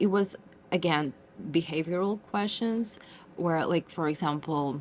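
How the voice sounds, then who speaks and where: The pitch varies in an ordinary way. Delivery comes at a fairly slow pace. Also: woman, fairly low pitch for a woman. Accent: Russian. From Russia. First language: Russian. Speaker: tech intern. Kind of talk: casual interview. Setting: office building.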